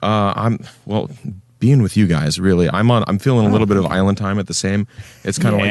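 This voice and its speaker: This man has an unremarkable speaking voice, pitched fairly low, with ordinary pitch variation and a fairly quick pace. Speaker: podcast guest, inspirational speaker.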